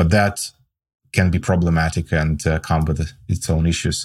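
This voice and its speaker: A man with a Russian accent speaks in a very deep, low pitch. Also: very clean recording, silent background. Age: 40s. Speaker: tech startup co-founder and CTO. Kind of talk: interview chat.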